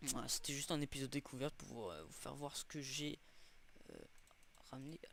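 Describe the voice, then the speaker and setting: At a fairly quick pace, a man with a fairly high voice shows ordinary pitch variation and big swings in loudness. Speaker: gaming youtuber. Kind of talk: gameplay commentary. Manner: fast; halting, many fillers and repeats.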